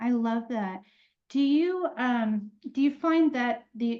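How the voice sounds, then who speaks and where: A woman's somewhat breathy voice. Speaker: podcast host. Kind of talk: podcast interview host. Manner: enthusiastic.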